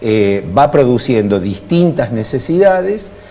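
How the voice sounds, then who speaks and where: A man speaks at a medium pitch with very wide pitch swings. Noticeable background noise runs underneath. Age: 60s. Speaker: politician and university lecturer. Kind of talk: TV interview.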